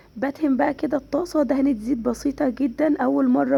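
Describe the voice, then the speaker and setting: In an Egyptian accent, a woman speaks at a high pitch in a dark, mellow tone with fairly even intonation. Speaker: cooking channel host. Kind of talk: cooking tutorial.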